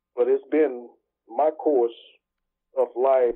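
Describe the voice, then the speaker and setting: Speaking in a Southern US accent, a man takes a fairly slow pace. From US South, Mississippi Delta. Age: 60s. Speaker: pastor and entrepreneur. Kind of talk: interview. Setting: video call.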